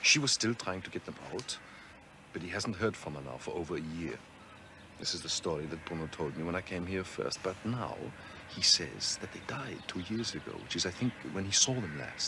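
A man's put-on character voice, low-pitched yet bright and sharp, with lively intonation at a moderate pace.

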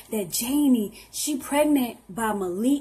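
A somewhat breathy woman's voice. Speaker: comedy skit creator. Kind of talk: acted comedy skit dialogue. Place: home room. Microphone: webcam.

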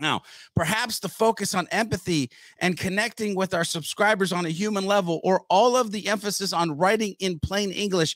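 A man's high-pitched, fairly bright voice at a moderate pace, ordinary pitch variation, dry, close sound with no echo

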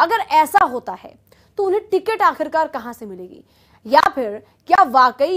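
A woman with a high pitch speaks at a fairly slow pace with very wide pitch swings against a quiet background. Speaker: news anchor. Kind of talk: news presentation. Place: studio.

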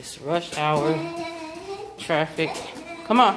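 A woman with a very deep, low voice talks at a fairly slow pace over noticeable background noise. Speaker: vlogger. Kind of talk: casual vlog chat. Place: hall. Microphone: phone near.

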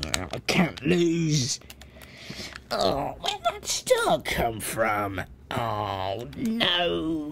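Against clear background noise, a put-on character voice moves at a very slow pace with a low-to-middle pitch. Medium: role play. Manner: brash, crude, competitive.

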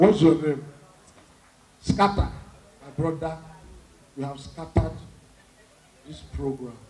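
There is noticeable background noise behind a voice with ordinary pitch variation. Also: man. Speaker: stand-up comedian. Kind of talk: stand-up comedy routine. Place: stage. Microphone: handheld.

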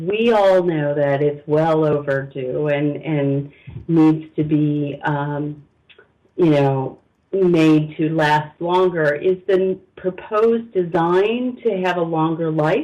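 At a fairly high pitch for a man, this man talks at a slow pace with a slightly mellow tone and ordinary pitch variation.

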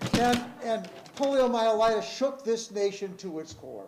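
At a fairly slow pace, a man is speaking. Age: 70s. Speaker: high school teacher. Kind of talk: public comment speech at board meeting. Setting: school board meeting. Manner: emphatic.

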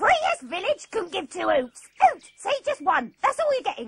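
An extremely high voice moves at a moderate pace with very wide pitch swings. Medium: comedy sketch. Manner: blunt, irritable, dismissive.

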